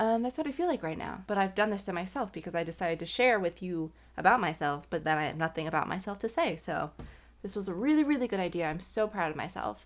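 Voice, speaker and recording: A woman mumbles at a very fast pace with lively intonation, captured in a very clean recording with a silent background. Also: medium pitch for a woman. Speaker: vlogger. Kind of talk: casual chat. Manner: mumbling.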